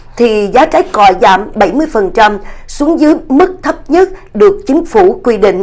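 Against a quiet background, a woman talks in a high-pitched voice. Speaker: news anchor. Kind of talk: news reading. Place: studio.

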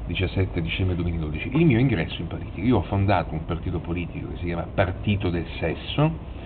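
A man talks at a very fast pace with hardly any pauses and lively intonation. His pitch is very deep and low, and there is noticeable background noise. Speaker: TV prankster. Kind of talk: casual talk to camera.

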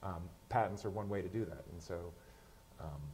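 A man speaks in a somewhat breathy voice. Light background noise can be heard. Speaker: science journalist. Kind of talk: panel discussion. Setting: stage with audience. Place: stage. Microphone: lapel.

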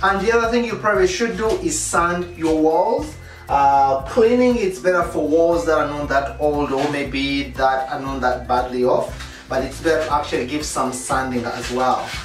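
Over clear background music and audible room echo, a man talks at a moderate pace. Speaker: home DIY vlogger. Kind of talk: casual tutorial vlog. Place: bathroom. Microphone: camera far.

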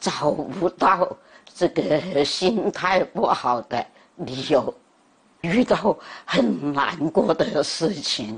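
A woman with a fairly low pitch and lively intonation speaks at a very slow pace, leaving long, frequent pauses. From Guangzhou, China. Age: 80s+. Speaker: elderly video creator. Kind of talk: interview answer. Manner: slow, clear. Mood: calm, content, reflective. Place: home room. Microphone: lapel.

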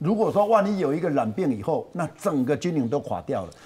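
A high-pitched man at a fairly quick pace with lively intonation. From Taiwan. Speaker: TV pundit. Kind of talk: TV political talk show. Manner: animated, many fillers. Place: studio. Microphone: lapel.

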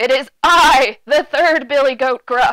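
This is a loud, high-pitched, put-on character voice. It moves at a fairly slow pace. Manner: bold, defiant.

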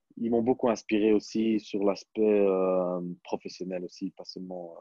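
A man's voice, dry with no echo, fairly even in intonation, against a quiet background. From Belgium. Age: 20s. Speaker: professional basketball player; interviewee. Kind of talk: interview. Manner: hesitant, many fillers. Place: home room. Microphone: earbuds.

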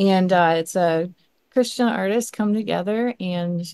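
A dark, mellow tone marks the way this woman talks. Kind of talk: podcast host talk.

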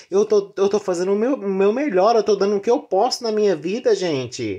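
Against a quiet background, the speaker has a dark, mellow tone and a moderate pace. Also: woman. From Brazil, rural area. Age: 30s. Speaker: vlogger. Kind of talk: personal vlog confession. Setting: in bed at home. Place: home room. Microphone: phone near.

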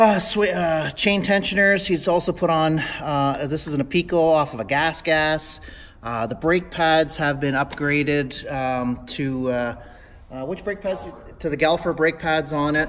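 At a fairly slow pace, the speech shows ordinary pitch variation over light background noise. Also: man. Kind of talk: casual walkaround commentary. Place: shop. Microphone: phone near.

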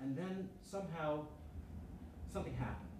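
A man speaks at a moderate pace. There is audible room echo and light background noise. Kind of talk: lecture. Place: classroom.

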